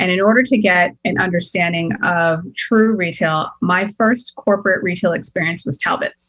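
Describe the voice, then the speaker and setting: A woman with an ordinary speaking voice and an American accent talks at a moderate pace and medium pitch, with ordinary pitch variation and hardly any pauses. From Boston, US. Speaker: entrepreneur. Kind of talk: interview.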